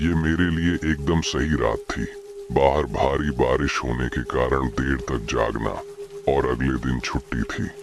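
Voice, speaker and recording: A put-on character voice at a fairly slow pace, with clear music in the background. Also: man. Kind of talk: horror narration. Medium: read story. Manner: tense, storytelling.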